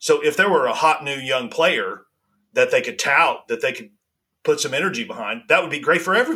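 A man talks at a fairly quick pace, his loudness swinging widely. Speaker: golf podcast co-host. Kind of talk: casual chat.

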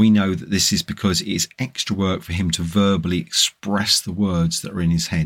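This is an unremarkable speaking voice, moving at a fairly quick pace with hardly any pauses. The intonation stays fairly even, and the recording is very clean with a silent background. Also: man, fairly low pitch for a man. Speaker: narrator and host. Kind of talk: audiobook-style reading aloud of a book chapter.

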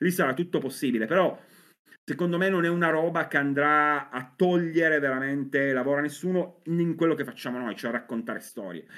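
A man with a fairly high pitch has an ordinary speaking voice. He talks at a fairly quick pace with ordinary pitch variation. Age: 40s. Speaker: comics writer and novelist. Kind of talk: casual chat.

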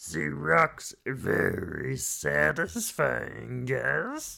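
Very slow and very deep, low in pitch, the put-on character voice drags each word out.

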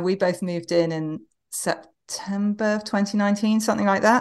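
A woman with an English accent, at a fairly quick pace and with fairly even intonation. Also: quiet background. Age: 40s. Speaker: novelist. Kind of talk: casual chat. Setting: video call. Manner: repeats words when starting sentences.

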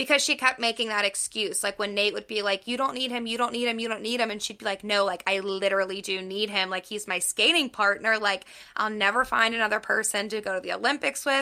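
A woman with an American accent talks very fast in a fairly high, bright, sharp voice, with hardly any pauses. Her intonation is fairly even, and the background is quiet. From Pittsburgh, US. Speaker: podcast co-host, book reviewer. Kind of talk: casual chat.

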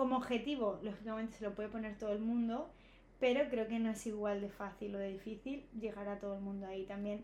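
A woman's medium-pitched voice at a fairly quick pace, with fairly even intonation, audible room echo and noticeable background noise. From Spain, Alicante province. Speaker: running influencer and marathon runner. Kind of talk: casual chat.

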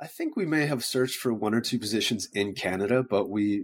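A man talks with ordinary pitch variation in a plain, everyday voice. The recording is very clean, with a silent background. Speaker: startup founder. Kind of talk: interview chat.

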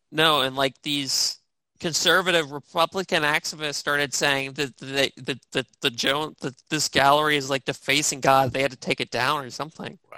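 An American accent at a moderate pace, in a very clean recording with a silent background.

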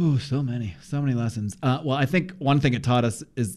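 A man at a medium pitch with an ordinary speaking voice and ordinary pitch variation, over a quiet background. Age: 40s. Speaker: podcast host and producer. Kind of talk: casual interview chat.

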